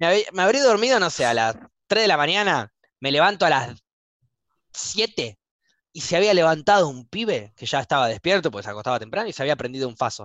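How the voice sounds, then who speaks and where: Over a quiet background, a man with a Buenos Aires accent speaks at a fairly quick pace with a fairly high pitch, vocal fry and very wide pitch swings. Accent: Rioplatense Spanish (Buenos Aires). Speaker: podcast host. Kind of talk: casual chat. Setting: live stream recording.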